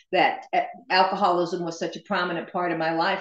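A woman speaks at a moderate pace with fairly even intonation, her voice carrying audible room echo over a quiet background. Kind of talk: interview answer. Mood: reflective, candid. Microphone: video call.

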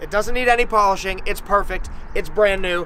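Speaking at a very fast pace in a raised, projected voice, a man uses ordinary pitch variation over a dry sound with no echo and light background noise. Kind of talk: casual explainer to camera. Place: street.

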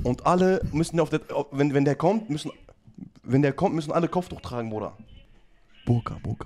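Pausing long and often, a man speaks with a fairly high pitch. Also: ordinary pitch variation, fairly quick pace. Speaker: streamer running prank calls. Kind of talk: casual chat on a live stream. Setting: live stream. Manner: animated, laughs often. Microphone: studio mic.

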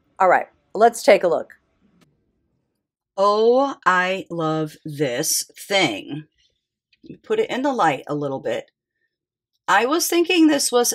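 A woman speaks very slowly with long, frequent pauses against a quiet background. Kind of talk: casual vlog commentary. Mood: excited, curious. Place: hall. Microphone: phone near.

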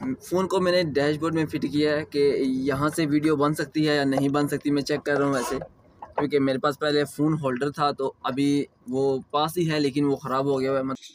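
A man talks at a moderate pace in a monotone, flat intonation with very even loudness, and the sound is dry with no echo. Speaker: vlogger. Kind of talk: casual vlog chat. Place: car. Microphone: phone near.

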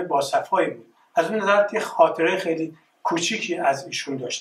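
Over light background noise and audible room echo, a man with a high voice speaks at a moderate pace. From Iran, Tehran. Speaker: artist. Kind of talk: presentation. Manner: halting. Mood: reflective, reminiscing. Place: hall. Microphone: camera far.

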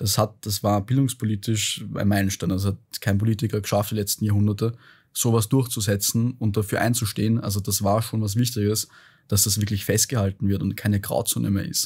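The voice is somewhat breathy, with fairly even intonation at a fairly quick pace. The recording is very clean, with a silent background. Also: man, fairly low pitch for a man. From Austria, Vienna. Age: 20s. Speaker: startup founder and author. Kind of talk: interview conversation. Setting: podcast studio.

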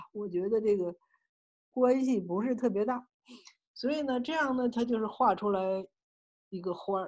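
Speaking at a fairly slow pace, the woman has a fairly high pitch with ordinary pitch variation. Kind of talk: tutorial. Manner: halting, many fillers.

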